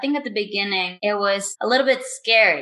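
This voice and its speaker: A woman speaks with a Spanish accent in a fairly high pitch and a bright, sharp tone. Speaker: professional cosplayer and TV host. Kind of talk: interview. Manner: hesitant non-native phrasing.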